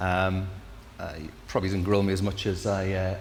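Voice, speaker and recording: A man with a Geordie accent speaks at a fairly quick pace, his pitch very deep and low. His voice is somewhat breathy, and the room echo is audible. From northeast England, Newcastle. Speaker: incoming managing director. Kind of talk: interview.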